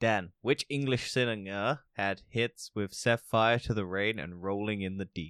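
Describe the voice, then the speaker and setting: With an American accent, a man talks at a fairly slow pace and a fairly low pitch, with ordinary pitch variation, hardly any pauses, and a dry, close sound with no echo. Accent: American-sounding. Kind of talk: casual chat. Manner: irreverent, sarcastic.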